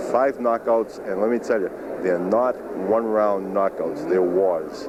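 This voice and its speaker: A man speaks at a fairly slow pace with ordinary pitch variation. Noticeable background noise is present. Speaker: boxing ring announcer. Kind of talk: interview answer. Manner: hesitant, rambling.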